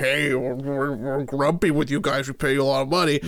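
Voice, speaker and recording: A man puts on a fairly high character voice. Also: moderate pace. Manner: grumpy, scolding.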